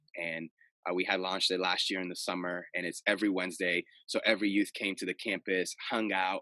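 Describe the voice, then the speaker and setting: A man speaks at a moderate pace with a bright, sharp tone in a dry, close recording with no echo. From Cape Verde and Florida. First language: Portuguese. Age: 20s. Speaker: youth pastor. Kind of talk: casual interview chat. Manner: halting, many fillers.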